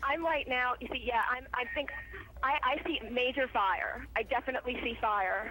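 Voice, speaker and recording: Noticeable background noise runs under a woman speaking at a moderate pace. Her pitch is high, with ordinary variation. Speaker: eyewitness caller. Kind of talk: eyewitness phone report. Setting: phone call; outdoors. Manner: halting, stuttering.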